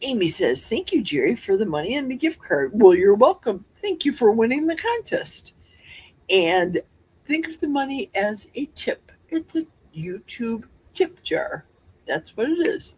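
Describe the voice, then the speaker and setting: Speaking slowly with a Midwestern accent, a woman uses a high pitch and very wide pitch swings. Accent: Midwest. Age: 60s. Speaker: livestream host. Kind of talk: casual livestream chat. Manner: chatty.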